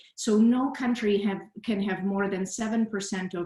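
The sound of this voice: A woman speaks at a medium pitch and a moderate pace, with ordinary pitch variation. Room echo is audible.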